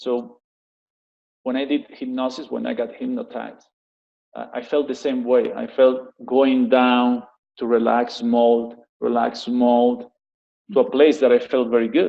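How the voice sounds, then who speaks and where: A man speaks with a Spanish accent at a medium pitch and a fairly slow pace. His intonation is monotone and flat, broken by long, frequent pauses. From Spain, Barcelona. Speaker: executive life coach. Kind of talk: interview. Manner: halting.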